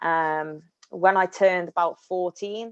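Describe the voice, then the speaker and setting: A woman's voice comes through dry and close, with no echo and a quiet background. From English Midlands (Bridgnorth, Shropshire). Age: 20s. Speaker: sports broadcaster and presenter. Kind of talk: career talk, personal story. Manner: hesitant, many fillers.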